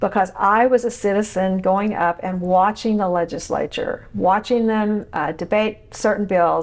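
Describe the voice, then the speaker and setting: The speaker has an Oklahoma accent and talks at a moderate pace. Noticeable background noise runs underneath. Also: woman. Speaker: podcast host, former state legislator. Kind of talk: interview. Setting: podcast interview. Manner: animated.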